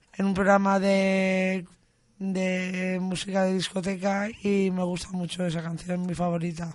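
A woman at a medium pitch, fairly slow and monotone, with flat intonation. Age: 30s. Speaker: psychiatric hospital patient. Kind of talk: casual interview.

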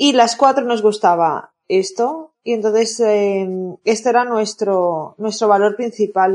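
A woman speaks at a fairly slow pace in a fairly high voice with ordinary pitch variation. Her tone is dark and mellow. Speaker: yarn shop owner and festival organizer. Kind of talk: casual chat.

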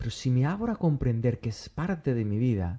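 A man at medium pitch with a dark, mellow, somewhat breathy tone, very wide pitch swings and a moderate pace over a quiet background. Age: 40s. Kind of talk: interview conversation.

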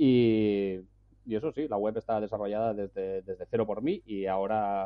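Fairly even intonation in a plain, everyday voice. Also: man. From Spain. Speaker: travel blogger. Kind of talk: casual chat. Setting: at home.

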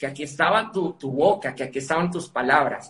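Fairly quick talk from a man pitched fairly high, his pitch varying in an ordinary way. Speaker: motivational speaker and author. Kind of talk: interview.

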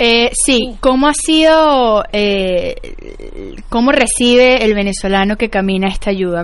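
A woman at a fairly high pitch and a very slow pace, with lively intonation. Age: 20s. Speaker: social entrepreneur. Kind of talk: interview. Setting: radio studio. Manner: halting.

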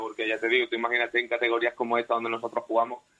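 This is a man talking. His pitch is medium. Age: 30s. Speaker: footballer. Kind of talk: radio interview.

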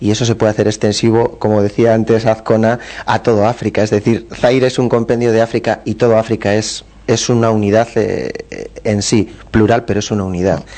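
Talking at a fairly quick pace, a man uses a fairly low voice with monotone, flat intonation. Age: 30s. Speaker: travel agency member. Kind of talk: radio interview.

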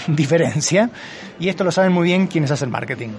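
Someone talks with an Argentine accent while a crowd murmurs in the background. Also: man. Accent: Argentine Spanish (voseo). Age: 50s. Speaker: physician and ageing researcher. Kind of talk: interview.

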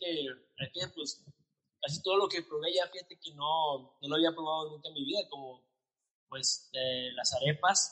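Here a man speaks in a northern Mexican accent. His pace is fairly slow and his intonation lively. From Mexico, Nuevo León (Monterrey area). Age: 30s. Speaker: salesman and stage actor. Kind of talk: casual chat. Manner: halting, many fillers.

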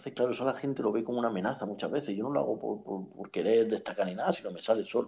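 This man talks at a very fast pace with hardly any pauses, using a medium pitch and ordinary pitch variation. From Spain, moved around; Andalusia. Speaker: friend of the host. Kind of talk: casual chat. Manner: halting, repeats words.

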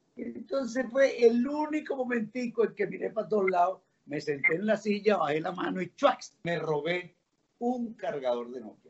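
Very wide pitch swings, big swings in loudness, and a moderate pace. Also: man, high pitch for a man. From Venezuela, Caracas. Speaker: journalist. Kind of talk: casual chat.

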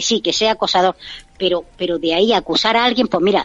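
A woman speaks at a very fast pace. Her pitch sits in the medium range, with ordinary variation. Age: 30s. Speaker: reality TV fan commentator. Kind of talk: radio interview, casual chat. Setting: remote call-in from abroad. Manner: animated. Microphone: clear line.

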